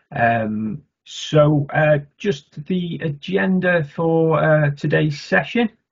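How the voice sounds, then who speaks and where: Against a quiet background, a man with a fairly high pitch speaks at a very slow pace with lively intonation. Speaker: bid manager. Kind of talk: webinar introduction. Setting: video call. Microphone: webcam.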